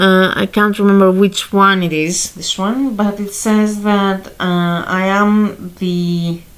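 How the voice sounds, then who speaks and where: A woman talks very slowly with a Greek accent. Her voice sits at a medium pitch with fairly even intonation. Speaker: astrology and tarot youtuber. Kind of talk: tarot reading monologue. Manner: halting, many fillers.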